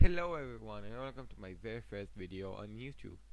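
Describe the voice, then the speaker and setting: Speaking with a non-native accent, the speaker keeps to a moderate speed. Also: man. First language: not English. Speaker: video game builder / let's play creator. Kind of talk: gameplay commentary voice-over. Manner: casual, conversational.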